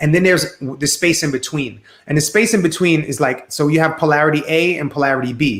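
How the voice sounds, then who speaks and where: A man talks at a fairly quick pace in a New York accent. His pitch is fairly high, with ordinary variation. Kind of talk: live stream interview.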